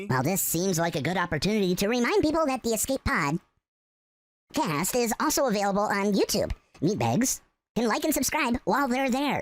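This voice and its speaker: In a put-on character voice, someone speaks at a fairly high pitch and a fairly quick pace. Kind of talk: comic audio sketch. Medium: audio drama. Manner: dry, sarcastic.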